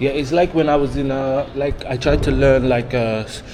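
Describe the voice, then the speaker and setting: A man at a medium pitch, with noticeable background noise and audible room echo. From England, Birmingham. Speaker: travel vlogger. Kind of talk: travel vlog narration; casual chat.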